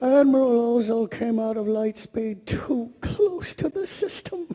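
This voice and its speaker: A man puts on a character voice pitched extremely high, delivering it at a fairly slow pace. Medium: stage play. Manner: gentle, polite.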